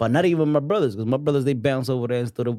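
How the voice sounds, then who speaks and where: In a strong Dominican accent, a man speaks with a dark, mellow tone at medium pitch and ordinary pitch variation. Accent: thick Dominican Spanish. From New York City. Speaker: music artist. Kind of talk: casual chat.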